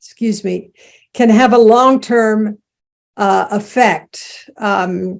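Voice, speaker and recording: A woman with an American accent speaks at a very slow pace with fairly even intonation on a very clean recording with a silent background. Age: 80s+. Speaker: Zen teacher and end-of-life care pioneer. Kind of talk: lecture with Q&A. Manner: halting, many fillers.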